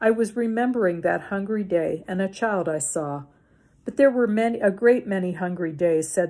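The pitch varies in an ordinary way. What you hear is plain reading aloud.

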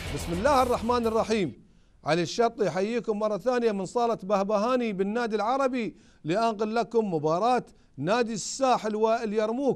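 Against a quiet background, a man speaks in a high pitch with ordinary variation. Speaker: sports TV host and basketball commentator. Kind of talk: live commentary. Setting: sports hall. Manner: fast.

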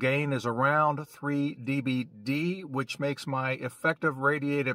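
A man speaks at a medium pitch and a slow pace. His tone is bright and sharp.

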